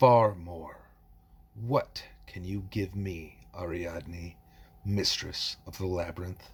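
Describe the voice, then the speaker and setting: A man's put-on character voice, very deep and low and very slow, on a very clean recording with a silent background. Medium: read story. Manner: slow, measured, ominous.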